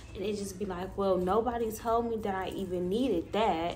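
A woman's pitch varies in an ordinary way while light background noise sits behind her. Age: 20s. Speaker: YouTuber and spiritual content creator; vlogger. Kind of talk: casual monologue vlog. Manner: animated. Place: home room. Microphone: phone near.

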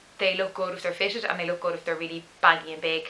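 A woman speaks with an Irish accent. Her tone is enthusiastic. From Dublin, Ireland. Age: 20s. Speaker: parenting vlogger. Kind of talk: casual talk to camera. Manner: chatty, enthusiastic. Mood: cheerful, enthusiastic. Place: home room. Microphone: camera far.

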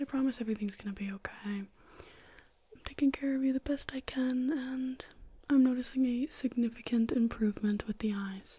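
Soft-spoken woman with a soothing tone, high pitch, fairly even intonation and a fairly quick pace. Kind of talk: soft-spoken role-play address to viewer. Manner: soft, hushed soothing ASMR voice. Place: home room.

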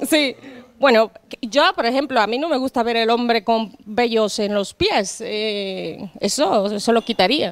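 The sound is dry, with no echo. A woman speaks fairly slowly, with ordinary pitch variation. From Dominican Republic. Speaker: beauty therapist; guest. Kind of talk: casual chat. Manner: halting. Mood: relaxed, friendly. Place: home room. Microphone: handheld.

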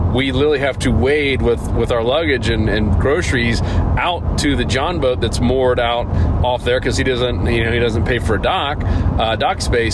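Loud background noise behind a man's voice at a moderate speed. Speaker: podcast co-host. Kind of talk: casual podcast storytelling. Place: car.

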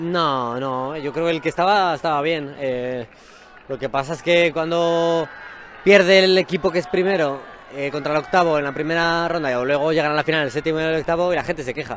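A man speaks at a fairly quick pace with a fairly high pitch and fairly even intonation. The sound is dry with no echo, over light background noise. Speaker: football coach. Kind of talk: post-match interview. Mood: calm, satisfied after match. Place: stadium. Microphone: handheld.

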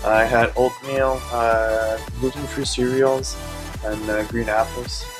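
With a French Canadian accent, a man talks at a very slow pace over clear background music. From French Canada. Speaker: bodybuilder. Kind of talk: casual vlog talk to camera. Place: shop. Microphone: phone near.

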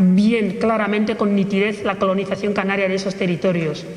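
A man's voice with audible room echo. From Equatorial Guinea. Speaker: pan-Africanist activist. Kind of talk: public talk. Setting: stage with audience. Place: hall.

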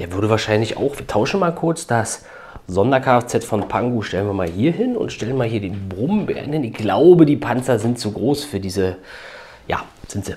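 Lively intonation marks a man's medium-pitched voice at a moderate pace, with noticeable background noise. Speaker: toy building set reviewer. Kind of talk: casual video review. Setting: home at a building table. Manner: casual with frequent fillers.

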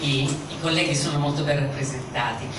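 Noticeable background noise and audible room echo accompany fairly quick speech. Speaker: audience questioner. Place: hall.

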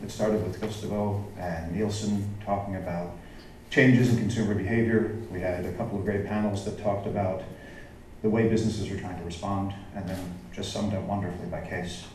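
A man talks at a fairly quick pace with a fairly low pitch and fairly even intonation. Light background noise and audible room echo are present. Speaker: keynote speaker. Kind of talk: keynote presentation. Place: hall.

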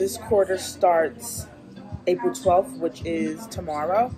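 Clear music plays in the background. A woman is speaking. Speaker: graduate student vlogger. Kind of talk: casual vlog chat. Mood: relaxed, upbeat. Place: cafe. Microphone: phone near.

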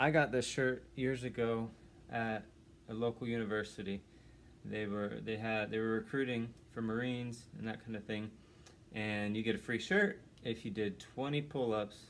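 A man's fairly even intonation comes through over light background noise. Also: moderate pace. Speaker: home handyman vlogger. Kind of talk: casual vlog chat. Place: home room. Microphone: phone near.

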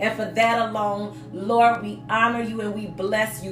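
With faint music in the background, a woman talks at a moderate pace with fairly even intonation. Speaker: dance ministry teacher. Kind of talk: webinar teaching and spoken prayer. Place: office. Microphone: phone near.

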